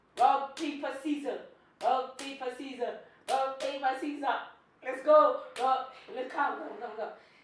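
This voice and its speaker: Her animated tone marked by big swings in loudness, a woman talks at a fairly slow pace and high pitch with ordinary pitch variation, audible room echo around her. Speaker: vlogger. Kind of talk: casual vlog challenge.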